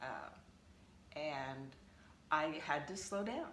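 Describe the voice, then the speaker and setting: Noticeable background noise accompanies a woman's voice. Her pitch is very deep and low, with fairly even intonation. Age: 70s. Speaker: ultramarathon runner. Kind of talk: casual interview.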